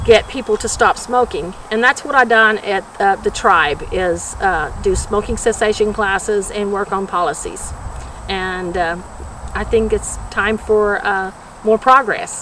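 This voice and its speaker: Over noticeable background noise, a woman talks at a medium pitch and a fairly slow pace. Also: ordinary pitch variation. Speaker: retired public health worker, anti-smoking advocate. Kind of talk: interview testimony. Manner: halting, many fillers.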